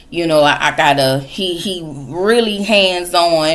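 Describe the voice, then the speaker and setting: A woman speaks with a very deep, low pitch. Audible room echo surrounds her voice. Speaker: reality TV recap youtuber. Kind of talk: casual recap commentary.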